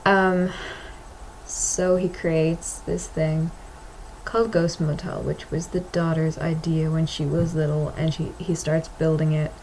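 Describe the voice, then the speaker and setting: Over noticeable background noise, a woman with an American accent talks at a fairly slow pace in a very deep, low pitch with monotone, flat intonation. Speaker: vlogger and comic artist. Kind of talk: casual vlog monologue. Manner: halting, hesitant with many fillers.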